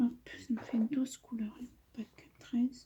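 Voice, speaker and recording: The woman's speech is very slow, with monotone, flat intonation. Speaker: coloring YouTuber. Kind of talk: casual chat while coloring. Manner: hesitant, many fillers.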